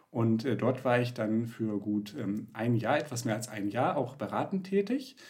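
Somewhat breathy and medium in pitch, a man talks at a fairly slow pace. His intonation is lively. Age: 20s. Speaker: finance founder, real estate investor. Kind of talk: casual interview. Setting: video call. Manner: hesitant, many filler sounds.

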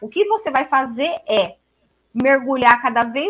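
This is a woman with a high pitch. Her voice is raised and projected. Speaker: tarot reader. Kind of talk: casual chat. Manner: animated.

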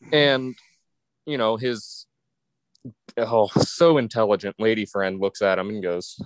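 Recorded dry and close with no echo, a man speaks at medium pitch with ordinary pitch variation. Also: long, frequent pauses. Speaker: podcast co-host. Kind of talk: casual chat.

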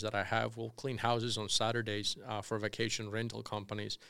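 In a very clean recording with a silent background, a man with a Spanish accent talks at a fairly quick pace in a bright, sharp tone with monotone, flat intonation. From Colombia. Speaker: real estate developer. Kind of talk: interview.

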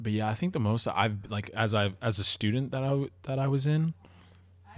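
A man with an American accent at medium pitch and a moderate pace, with ordinary pitch variation, on a very clean recording with a silent background. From US Northeast (Long Island, New York). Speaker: DJ and streamer. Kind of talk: casual chat.

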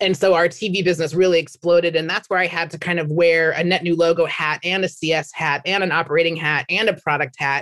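Delivered in an American accent, the speech runs at a very fast pace with hardly any pauses. The intonation is monotone and flat. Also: woman, fairly low pitch for a woman. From US Midwest, Minnesota. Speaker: sales executive. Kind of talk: interview.

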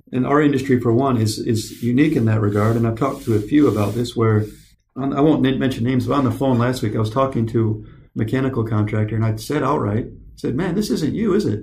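Talking very fast with a somewhat breathy voice, a man holds a medium pitch and very even loudness, with ordinary pitch variation and audible room echo. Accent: American. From US, California then Michigan. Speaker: podcast host. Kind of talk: casual chat.

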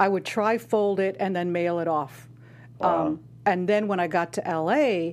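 On a very clean recording with a silent background, a woman with a plain, everyday voice speaks at a fairly low pitch with lively intonation. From Chicago, Southwest Side. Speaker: actor and acting coach. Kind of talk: casual interview.

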